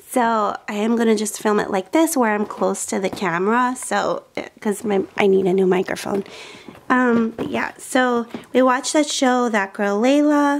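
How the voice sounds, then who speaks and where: A woman speaks with ordinary rises and falls in pitch at a moderate speed, light noise audible behind her. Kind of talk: casual vlog chat. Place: home room. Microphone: phone near.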